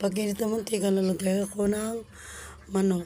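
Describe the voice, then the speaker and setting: Here a woman speaks at a medium pitch and a moderate pace. Her intonation is monotone and flat. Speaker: cooking vlogger. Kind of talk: cooking vlog. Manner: halting; casual.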